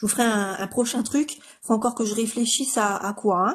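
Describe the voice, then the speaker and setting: Speaking fairly quickly, a woman talks in a high pitch. She has a strong northeastern French accent. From northeastern France. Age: 30s. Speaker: makeup artist. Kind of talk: tutorial. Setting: live stream. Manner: hesitant, many fillers.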